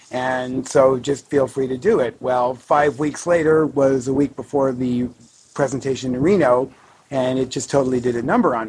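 With fairly even intonation and a moderate pace, the speaker has a normal speaking voice. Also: man, medium pitch for a man. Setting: online audio session.

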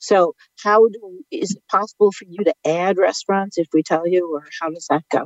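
A woman talks in a plain, everyday voice at a medium pitch and a moderate pace. Her intonation is fairly even, while her loudness swings widely. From Brooklyn, New York. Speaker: caller.

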